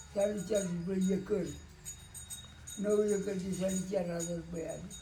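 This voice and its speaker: Over music in the background, a man speaks at a high pitch in a monotone, flat intonation. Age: 80s+. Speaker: farmer. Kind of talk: interview answer.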